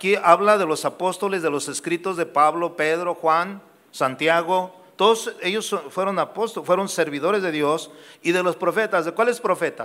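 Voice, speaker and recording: A man speaks at a moderate pace in a high pitch, his intonation fairly even. His tone is bright and sharp. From Guadalajara, Mexico. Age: 60s. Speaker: pastor. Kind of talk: sermon. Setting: church.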